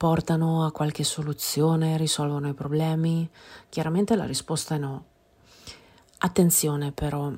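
A woman with a very deep, low pitch and a dark, mellow tone talks at a fairly slow pace on a very clean recording with a silent background. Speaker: podcast host, personal growth coach. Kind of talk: podcast monologue; guided meditation.

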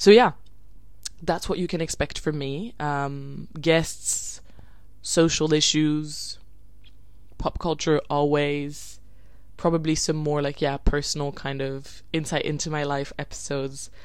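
A woman at a fairly slow pace, with long, frequent pauses and audible room echo. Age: 20s. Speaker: podcast host. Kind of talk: casual solo podcast monologue.

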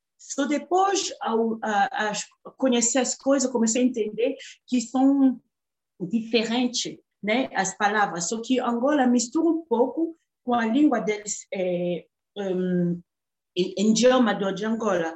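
Very slow, lively intonation from a woman with a fairly high pitch. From Democratic Republic of the Congo. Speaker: artist and human rights activist. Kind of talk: interview.

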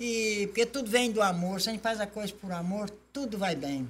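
A woman's voice sits fairly high and sounds somewhat breathy. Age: 80s+. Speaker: folk music group secretary. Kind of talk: casual chat.

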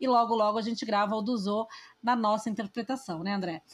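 A woman with a somewhat breathy, medium-pitched voice speaks at a fairly quick pace with ordinary pitch variation. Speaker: podcast host. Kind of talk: casual chat.

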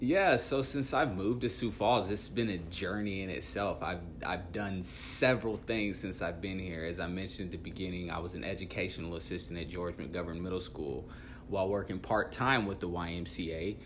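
A man talks with an American accent in a very deep, low pitch. Audible room echo surrounds his voice. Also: ordinary pitch variation, moderate pace. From US Midwest, Dodge City, Kansas. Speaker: youth worker. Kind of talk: casual interview chat.

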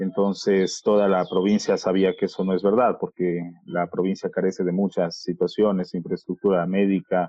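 A man with a very deep, low pitch speaks at a moderate pace in a monotone, flat intonation. His loudness stays very even, and he hardly pauses. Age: 30s. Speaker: journalist and communicator. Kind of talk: interview. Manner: halting.

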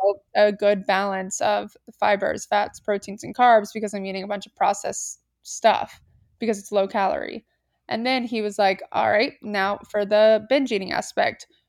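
A woman with a normal speaking voice talks at a moderate pace in a medium pitch, her intonation fairly even while her loudness swings widely. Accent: American. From US South, Atlanta, Georgia. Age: 20s. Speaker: entrepreneur. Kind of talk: casual chat. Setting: remote call without video.

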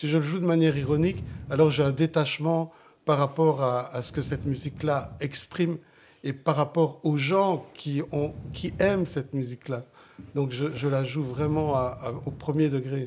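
On a very clean recording with a silent background, a man speaks at a moderate pace with a fairly high pitch and fairly even intonation. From Flemish Limburg, Belgium, Italian community. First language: Sicilian (speaking French). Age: 60s. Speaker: jazz saxophonist. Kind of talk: interview. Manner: halting.

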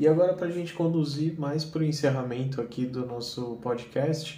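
Noticeable background noise and audible room echo accompany a man who speaks at a moderate pace with ordinary pitch variation. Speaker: podcast host, business consultant. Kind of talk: interview.

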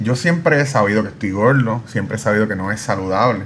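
Noticeable noise fills the background. The man's voice sits at a medium pitch. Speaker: podcast host. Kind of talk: interview.

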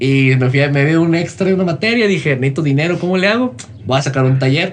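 This man talks at a very fast pace in a fairly high, somewhat breathy voice. His intonation is lively. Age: 20s. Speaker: motivational content creator. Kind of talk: casual interview.

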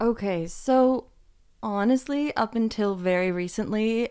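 Over a silent background on a very clean recording, a woman speaks very slowly with ordinary pitch variation. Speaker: podcast co-host. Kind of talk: casual chat.

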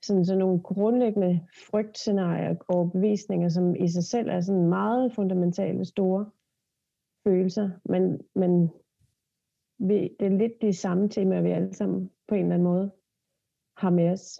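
A woman speaks at a medium pitch in a dark, mellow tone with fairly even intonation. Her pace is fairly slow, with long, frequent pauses. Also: very even loudness. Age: 30s. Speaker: body therapist and hypnotherapist. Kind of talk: casual chat.

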